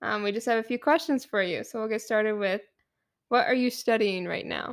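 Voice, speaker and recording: A woman's normal speaking voice with an American accent, fairly high in pitch, with ordinary pitch variation at a fairly quick pace. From eastern Michigan. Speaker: student podcast host. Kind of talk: casual interview; announcements.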